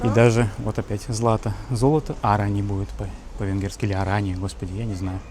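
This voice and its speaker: The voice is somewhat breathy and moves at a fairly quick pace. Its pitch varies in an ordinary way. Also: man, fairly low pitch for a man. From Russia. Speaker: travel vlogger. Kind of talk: casual walking vlog. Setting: outdoors walking in city. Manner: animated.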